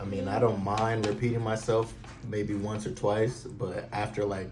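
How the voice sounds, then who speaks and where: A man's fairly low, monotone, flat voice at a fairly slow pace, with audible room echo. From California, San Jose area. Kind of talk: casual chat.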